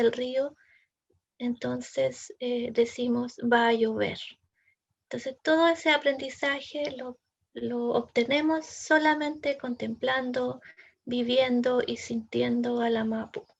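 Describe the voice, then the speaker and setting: A woman speaks at a very slow pace. Her voice is high. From southern Chile, Mapuche community. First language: Mapudungun (speaking Spanish). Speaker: poet and academic. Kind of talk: seminar talk. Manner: hesitant, with fillers and repetitions.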